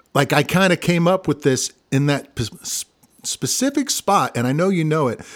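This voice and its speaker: A man with an American accent has a plain, everyday voice and a fairly high pitch. He speaks at a moderate pace in a dry, close sound with no echo. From Missouri, US. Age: 50s. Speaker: singer-songwriter and guitarist. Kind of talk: casual interview chat.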